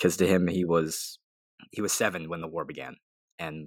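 Speaking with an American accent, a man with a very deep, low pitch keeps a moderate pace and monotone, flat intonation. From US Southwest. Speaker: podcast co-host. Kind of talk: casual chat.

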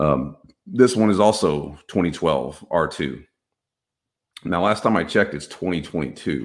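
A man with an American accent, very deep, low pitch and vocal fry, at a fairly slow pace with lively intonation and long, frequent pauses. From Texas. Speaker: cybersecurity podcast host. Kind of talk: solo tech commentary. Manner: casual, filler-heavy.

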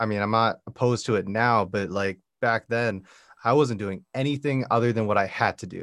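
In a plain, everyday voice, a man speaks at a medium pitch. He keeps a moderate pace with fairly even intonation. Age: 20s. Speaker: music podcast host. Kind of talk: casual chat. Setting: video call.

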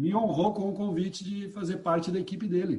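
Dark, mellow and somewhat breathy, a man's voice moves at a moderate pace. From São Paulo state interior, Piracicaba. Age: 50s. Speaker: poet and eco-activist. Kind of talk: casual interview.

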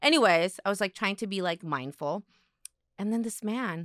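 A woman's medium-pitched voice at a moderate pace with ordinary pitch variation, on a very clean recording with a silent background and a dry, close sound with no echo. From South Korea, moved to US at eight. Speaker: podcast co-host, content creator. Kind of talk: casual chat. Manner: animated.

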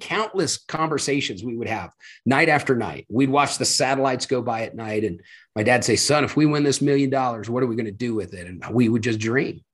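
A man's ordinary speaking voice at medium pitch with ordinary pitch variation, fairly quick, against a quiet background. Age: 50s. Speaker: motivational speaker and leadership coach. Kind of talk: interview.

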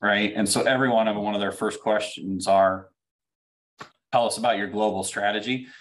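Against a quiet background, a man speaks with a US Midwestern accent. His pitch is fairly low and his pace moderate. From Central Illinois, US Midwest. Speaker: company CEO. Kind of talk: interview.

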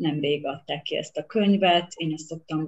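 Pitch variation is ordinary as the woman talks.

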